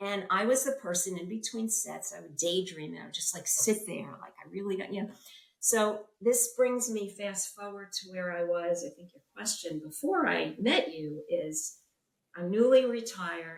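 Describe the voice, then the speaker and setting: A woman with a plain, everyday voice speaks at a moderate pace, her loudness swinging widely. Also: medium pitch for a woman, ordinary pitch variation. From US Northeast, New York City. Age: 60s. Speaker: retired fashion industry professional, coaching client. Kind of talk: interview.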